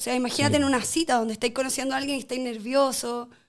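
In a Chilean accent, a woman talks at a very fast pace with a high pitch. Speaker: podcast guest. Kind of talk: casual chat.

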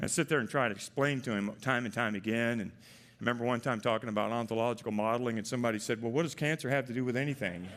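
The speaker goes at a very fast pace. The intonation stays fairly even. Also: man, medium pitch for a man. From Arkansas. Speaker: tech executive. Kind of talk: conference keynote.

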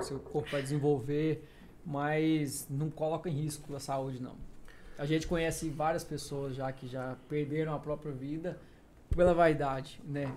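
At a fairly slow pace, a man speaks in a fairly high, somewhat breathy voice with monotone, flat intonation. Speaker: personal trainer.

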